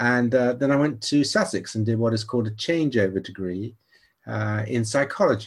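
A man's speech shows ordinary pitch variation and comes with an American accent. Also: medium pitch for a man, moderate pace. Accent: British English with slight American twang. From Nigeria. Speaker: psychology professor. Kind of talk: interview.

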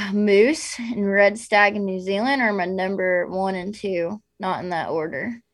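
In an ordinary speaking voice with an American accent, the speaker goes at a fairly slow pace with hardly any pauses and ordinary pitch variation. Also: woman, medium pitch for a woman. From US South, raised from age eight after leaving New Jersey. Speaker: outdoor influencer and hunter. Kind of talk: casual interview chat.

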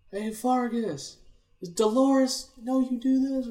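At a fairly slow pace, a man performs a put-on character voice with extremely high pitch.

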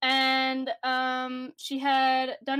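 A woman speaks with a Canadian accent in a very clean recording over a silent background. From Canada. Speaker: podcast co-host. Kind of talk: casual chat.

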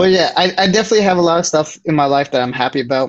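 With an American accent, a man rattles off his words at a very fast pace. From New Jersey. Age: 20s. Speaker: bar manager. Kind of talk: casual chat.

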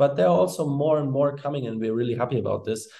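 In a German accent, the voice has a dark, mellow tone and ordinary pitch variation. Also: man. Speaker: co-founder and product manager of a 3D printing materials company. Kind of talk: interview.

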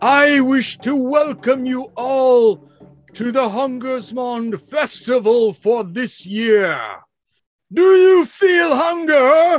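Putting on a character voice, a man talks very slowly at an extremely high pitch. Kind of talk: ritual sermon. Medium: actual play. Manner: fervent, rousing, call and response.

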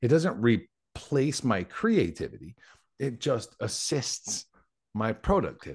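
A man's medium-pitched voice with vocal fry and very wide pitch swings, at a fairly slow pace, over a quiet background. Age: 40s. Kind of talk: casual chat.

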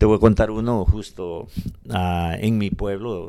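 Recorded very cleanly against a silent background, a man speaks at a moderate pace. His tone is dark and mellow, with fairly even intonation. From El Salvador, Morazán (eastern region). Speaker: community organization founder. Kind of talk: radio interview.

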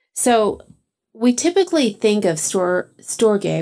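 The voice has a dark, mellow tone and a Texan accent. The background is quiet. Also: woman. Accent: Texan American. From Texas, small town. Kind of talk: casual interview.

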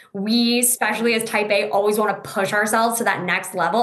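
A woman speaks at a medium pitch and a moderate pace, with noticeable background noise and audible room echo. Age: 20s. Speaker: Crohn's disease patient sharing her story. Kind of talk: interview conversation.

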